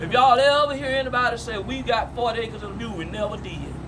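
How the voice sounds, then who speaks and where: A man's high, raised, projected voice with an American accent at a moderate pace, amid noticeable background noise and audible room echo. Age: 60s. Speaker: family elder telling family history. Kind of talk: storytelling to family.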